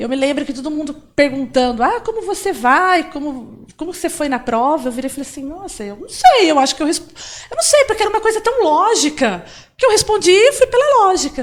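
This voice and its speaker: Extremely high-pitched speech from a woman at a fairly quick pace, with very wide pitch swings and big swings in loudness. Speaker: software developer. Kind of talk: interview.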